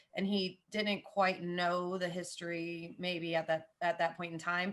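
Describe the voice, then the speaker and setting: With a Southern US accent, the speaker talks at a fairly slow pace in a flat, monotone way against a quiet background. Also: woman, fairly low pitch for a woman. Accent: Southern American. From US South, Jacksonville, Florida. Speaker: football podcaster. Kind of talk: casual chat.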